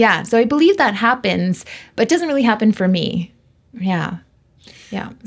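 A woman with a Canadian accent, fairly high pitch and a somewhat breathy voice, lively intonation at a moderate pace, long, frequent pauses, on a very clean recording with a silent background. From western Canada (Vancouver). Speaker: medium. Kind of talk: interview.

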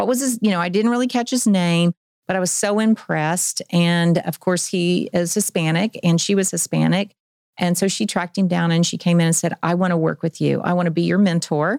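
A woman with an American accent speaks at a fairly quick pace in a fairly low pitch, with ordinary pitch variation, very even loudness and an ordinary speaking voice. The recording is very clean with a silent background, and the sound is dry and close with no echo. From Oklahoma, Tulsa. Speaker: career-education program director. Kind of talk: casual interview. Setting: studio.

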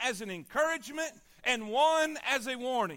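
A man's raised, projected voice in a Southern US accent, with a bright, sharp tone and lively intonation. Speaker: pastor. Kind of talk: sermon. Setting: church. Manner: animated, rising preacher cadence with repeated build-up phrases; urgent, exhorting the congregation with call-and-response.

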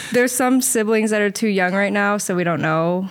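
A woman at medium pitch and moderate pace. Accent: Midwestern American. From Indianapolis, Indiana. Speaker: diving coach and social worker. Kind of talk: casual interview. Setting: studio.

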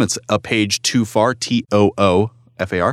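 Recorded very cleanly with a silent background and a dry, close sound with no echo, a man with a plain, everyday voice speaks at medium pitch with ordinary pitch variation. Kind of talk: casual chat, book review. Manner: jokey, sarcastic.

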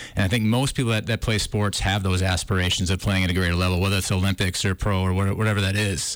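This man talks at a very fast pace with hardly any pauses, his fairly low pitch, very even loudness and fairly even intonation carried in an Upper Midwest accent. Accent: Upper Midwest (Minnesota). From northern Minnesota. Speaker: film director. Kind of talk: interview. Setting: studio.

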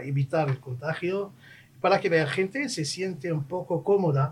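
A man speaks with a Moroccan accent at a fairly slow pace. His pitch varies in an ordinary way. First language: Moroccan Arabic (speaking Spanish). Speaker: diplomat. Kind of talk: radio interview.

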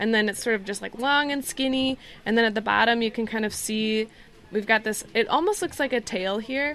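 An ordinary speaking voice with an American accent moves at a fairly quick pace, with ordinary pitch variation. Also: woman, fairly high pitch for a woman. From northern Michigan. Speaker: education program coordinator. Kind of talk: casual interview. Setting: outdoors on a sailing ship.

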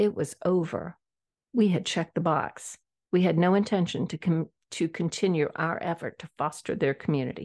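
In an unremarkable speaking voice with an American accent, a woman of fairly low pitch speaks at a moderate pace with ordinary pitch variation, the sound dry and close with no echo over a quiet background. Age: 60s. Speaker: podcast host. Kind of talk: solo podcast monologue. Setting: audio-only recording, camera off.

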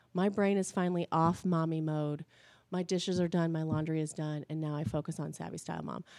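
A woman's dark, mellow tone at a fairly low pitch, with a US Midwestern accent, ordinary pitch variation and a fairly quick pace, in a very clean recording with a silent background. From Indiana, Indianapolis area. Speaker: blogger and mom. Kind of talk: casual interview. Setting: studio.

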